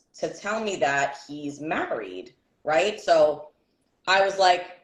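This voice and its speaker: Speaking very slowly, a woman uses a fairly low pitch. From New York City (Bronx, Brooklyn). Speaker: podcast co-host. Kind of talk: casual chat. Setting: livestream.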